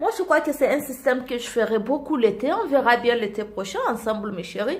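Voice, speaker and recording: A woman speaks at a high pitch with lively intonation. Her tone is animated. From Côte d'Ivoire. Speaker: beauty vlogger. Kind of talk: makeup tutorial. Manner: animated, repetitive.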